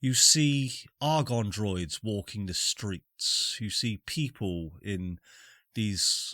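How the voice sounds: The intonation is lively in a natural reading voice. The background is quiet.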